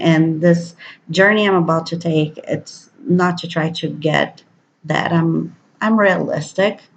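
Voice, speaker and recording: This somewhat breathy voice, in a Brazilian Portuguese accent, moves at a fairly slow pace with fairly even intonation. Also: woman. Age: 30s. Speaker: vlogger. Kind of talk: personal video diary. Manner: hesitant, many fillers.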